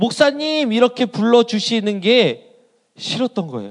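A man talks at a fairly slow pace. His voice sits extremely high. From South Korea, Asan, South Chungcheong. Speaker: pastor. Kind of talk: sermon. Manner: hesitant fillers.

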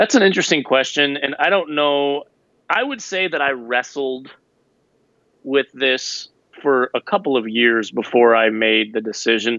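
A man's normal speaking voice, medium in pitch, at a moderate pace with lively intonation. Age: 30s. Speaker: former pastor, author. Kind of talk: casual interview.

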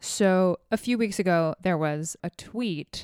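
Dry and close with no echo, a woman's recording shows an ordinary speaking voice at a fairly slow pace with ordinary pitch variation. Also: very clean recording, silent background. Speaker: podcast co-host. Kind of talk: casual chat.

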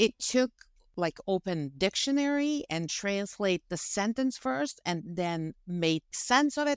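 A woman with a Bosnian accent talks at a very slow pace, her pitch swinging very widely. The sound is dry and close, with no echo. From Bosnia and Herzegovina. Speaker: wine business founder. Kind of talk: interview.

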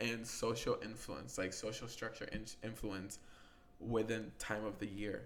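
With vocal fry, a man speaks at a fairly slow pace. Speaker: podcast co-host. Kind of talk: casual chat.

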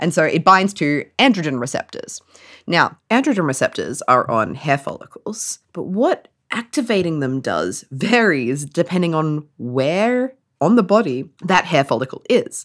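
A woman with an Australian accent, fairly low pitch, an animated tone, very wide pitch swings and a fairly slow pace, in a very clean recording with a silent background. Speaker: science podcast co-host and neuroscientist. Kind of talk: casual comedic science chat. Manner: animated, joking, swears often.

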